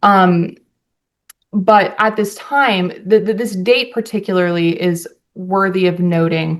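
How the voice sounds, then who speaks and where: An unremarkable speaking voice, a woman's at medium pitch with fairly even intonation. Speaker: attorney. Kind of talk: courtroom opening statement. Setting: courtroom.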